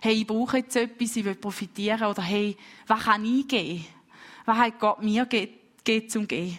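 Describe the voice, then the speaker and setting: Recorded very cleanly with a silent background, a woman uses a normal speaking voice, fairly high in pitch, with fairly even intonation at a moderate pace. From Switzerland, St. Gallen. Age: 20s. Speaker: preacher. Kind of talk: sermon.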